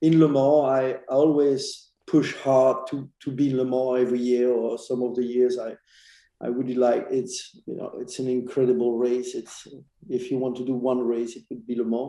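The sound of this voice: A man speaks at a medium pitch with a dark, mellow tone. His pace is moderate and his pitch moves very little.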